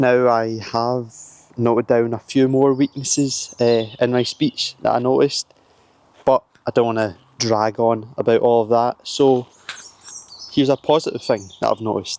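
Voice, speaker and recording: Here a man speaks in a monotone, flat way with a dark, mellow tone at a moderate pace. The sound is dry and close, with no echo. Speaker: self-improvement vlogger. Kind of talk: casual talk to camera. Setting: filming himself on camera.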